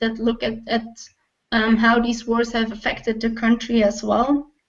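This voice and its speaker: A woman speaks in a Flemish accent. Her pitch is fairly high. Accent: Belgian Dutch (Flemish) accent in English. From Belgium (Dutch-speaking). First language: Dutch. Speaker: travel blogger. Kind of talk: interview.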